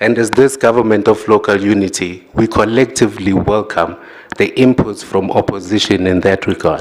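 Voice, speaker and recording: Intonation stays fairly even while noticeable background noise can be heard. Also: man, fairly low pitch for a man, moderate pace. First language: not English. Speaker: executive mayor. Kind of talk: formal council debate speech. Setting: council chamber podium. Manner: formal.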